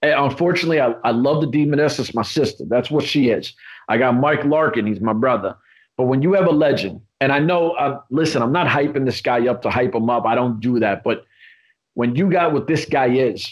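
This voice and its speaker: A man with a New York accent, animated in tone, fairly high in pitch, at a fairly quick pace with ordinary pitch variation. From New York, Queens. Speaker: podcast host. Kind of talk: casual chat. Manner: loud.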